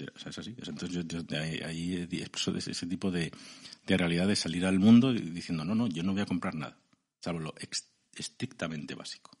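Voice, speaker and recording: Speaking at a fairly quick pace in a central Spanish accent, a man has a very deep, low pitch and ordinary pitch variation. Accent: central Peninsular Spanish. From Spain, Segovia (Castile). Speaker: novelist and columnist. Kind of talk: interview.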